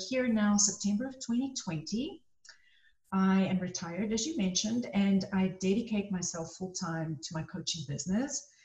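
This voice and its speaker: At a moderate pace and medium pitch, a woman speaks against noticeable background noise. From South Africa. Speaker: life coach, former physician. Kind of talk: interview.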